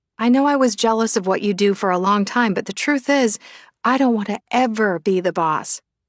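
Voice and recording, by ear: Reading aloud in a natural voice with ordinary pitch variation against a quiet background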